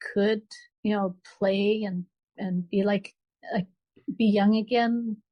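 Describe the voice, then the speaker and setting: This woman's voice is somewhat breathy, with a dark, mellow tone, medium pitch, and flat, monotone intonation, recorded dry and close with no echo. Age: 60s. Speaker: author. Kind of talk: interview. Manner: halting.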